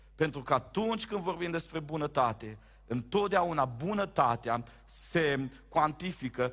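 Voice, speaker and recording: The man speaks in an animated tone with lively intonation. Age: 30s. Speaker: pastor. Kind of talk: sermon. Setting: church.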